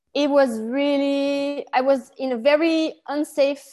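With a Flemish accent and a dark, mellow tone, the voice moves at a very slow pace. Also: woman. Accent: Belgian Dutch-accented English. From Belgium, Antwerp. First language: Dutch. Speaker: Lyme disease healer, former martial arts and sports teacher. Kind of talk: casual interview chat, personal story. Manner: halting, searching for English words.

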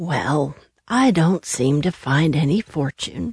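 Using a put-on character voice, a woman speaks at a fairly slow pace in a very deep, low, raspy pitch. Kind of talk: bedtime story. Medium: read story.

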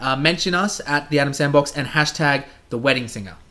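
With an unremarkable speaking voice, a man talks at a moderate pace and with ordinary pitch variation. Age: 20s. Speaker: podcast co-host. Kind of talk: casual chat.

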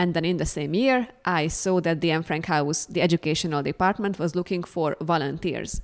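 A woman with a Hungarian accent, a fairly low pitch and ordinary pitch variation at a moderate pace, on a very clean recording with a silent background. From Hungary. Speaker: museum educator and graduate student. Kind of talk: interview.

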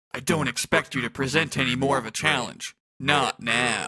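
A man performs in a put-on character voice. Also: medium pitch for a man, moderate pace. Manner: menacing.

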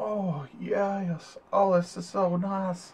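A female-sounding voice doing a put-on character, pitched in a woman's medium range. The delivery is very slow.

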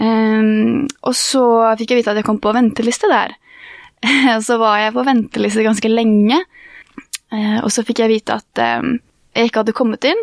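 Speaking with a Norwegian accent, a woman uses a fairly high pitch and fairly even intonation at a moderate pace, in a dry, close sound with no echo. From Norway. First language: Norwegian (speaking Swedish). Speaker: university student. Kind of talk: casual chat.

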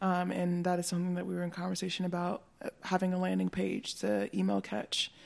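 A woman with an American accent talks at a very fast pace, with hardly any pauses. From North Carolina. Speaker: fashion brand founder. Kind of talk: casual interview chat.

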